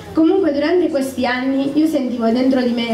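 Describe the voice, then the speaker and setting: At a fairly quick pace, a woman speaks at a high pitch, with audible room echo and light background noise. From southern Italy, Apulia (San Severo). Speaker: church member giving testimony. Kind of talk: testimony. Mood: calm, earnest, slightly nervous. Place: tent.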